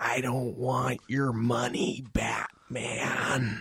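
A man does a put-on character voice that is raspy and medium-pitched. He speaks very slowly in a monotone, flat intonation. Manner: menacing, theatrical.

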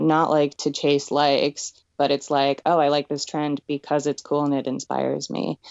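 A woman's very deep, low voice with monotone, flat intonation. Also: moderate pace. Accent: American. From Pennsylvania, US. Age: 20s. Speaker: makeup artist and designer. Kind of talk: casual interview.

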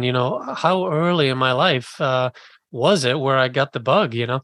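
A man with a bright, sharp tone and a fairly high pitch speaks at a moderate pace. His pitch variation is ordinary, and the sound is dry and close with no echo. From Scotland, Edinburgh; moved to US at 11. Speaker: writer and podcast host. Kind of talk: interview conversation.

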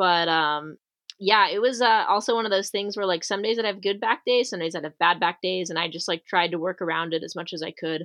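A woman's ordinary speaking voice, medium-pitched, at a fairly quick pace with ordinary pitch variation. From Arizona, US. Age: 20s. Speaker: professional rock climber. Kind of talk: casual interview.

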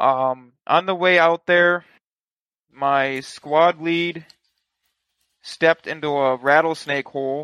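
Bright and sharp in tone, a man with a fairly high pitch speaks at a very slow pace with long, frequent pauses and fairly even intonation against a quiet background. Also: dry, close sound with no echo. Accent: American. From Michigan. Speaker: airsoft player. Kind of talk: casual chat. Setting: video call.

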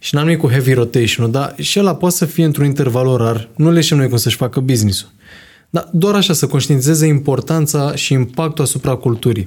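Somewhat breathy, a man speaks fairly quickly with a fairly high pitch. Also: ordinary pitch variation, very even loudness. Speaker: podcast host. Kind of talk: casual chat.

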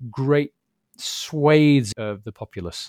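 A man speaks with a British accent, dry and close with no echo. The recording is very clean, with a silent background. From UK. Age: 40s. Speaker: mental health advocate and author. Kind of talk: interview. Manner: halting, repeats words.

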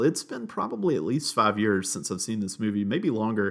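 A man talks at a fairly quick pace and fairly low pitch in a very clean recording with a silent background. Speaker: podcast host. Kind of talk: casual chat. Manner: halting, filler words.

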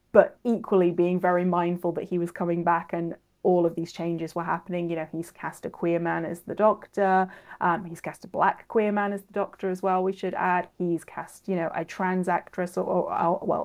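With a Welsh accent, a woman speaks at a medium pitch and a moderate pace in a monotone, flat intonation, with hardly any pauses and a quiet background. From Wales, Cardiff. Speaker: author and researcher. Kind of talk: interview.

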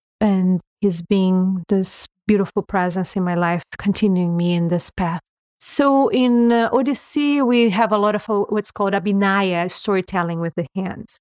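A woman with a Portuguese accent, medium pitch and ordinary pitch variation, at a moderate pace, in a dry, close sound with no echo. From Brazil. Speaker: yoga teacher. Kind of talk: interview conversation.

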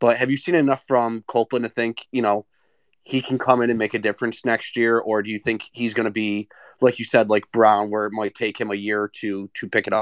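The speaker moves at a fairly quick pace in a monotone, flat intonation. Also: man, medium pitch for a man. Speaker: caller, sports fan. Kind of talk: casual chat. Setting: live online audio room.

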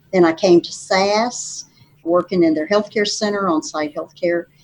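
In an Appalachian Virginia accent, a woman talks at a moderate pace with a medium pitch. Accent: Southern US (Appalachian Virginia). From southwestern Virginia. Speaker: state legislator and nurse practitioner. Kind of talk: interview conversation. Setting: studio.

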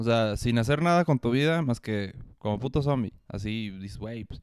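A speaker with a Mexican accent talks at a moderate pace. The sound is dry and close with no echo, on a very clean recording with a silent background. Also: man. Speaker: student podcaster. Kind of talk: casual chat.

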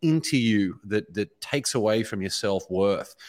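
The voice belongs to a man. He speaks with an Australian accent. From Australia, Brisbane. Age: 30s. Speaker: author and speaker. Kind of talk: interview conversation. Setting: video call.

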